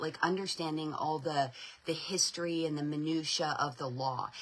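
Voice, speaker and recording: Against noticeable background noise, a woman with a very deep, low pitch speaks in an animated tone. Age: 40s. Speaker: homeschool advocacy spokesperson. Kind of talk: live stream update and fundraising appeal. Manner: animated, repetitive filler words.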